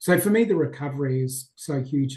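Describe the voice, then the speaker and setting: With an Australian accent, a man speaks at a moderate pace. His voice is fairly high, dark and mellow in tone, and somewhat breathy. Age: 50s. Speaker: mindset coach. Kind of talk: podcast interview. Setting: video call.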